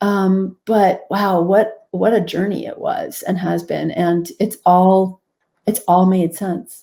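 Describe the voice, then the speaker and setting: A woman with an American accent speaks very slowly at medium pitch in a dark, mellow tone with monotone, flat intonation. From US Northeast. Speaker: physician and author. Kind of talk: interview. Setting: video call.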